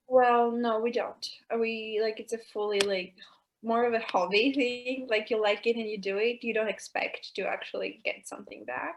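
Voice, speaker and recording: In an American accent, a woman talks at a moderate pace with fairly even intonation. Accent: American-sounding English. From Albania, raised in Greece. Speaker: goalball player. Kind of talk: talk show interview.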